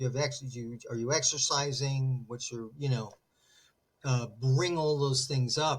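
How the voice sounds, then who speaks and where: A man at a medium pitch speaks at a moderate pace, his voice somewhat breathy and his intonation fairly even. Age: 60s. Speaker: therapist. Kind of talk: interview conversation.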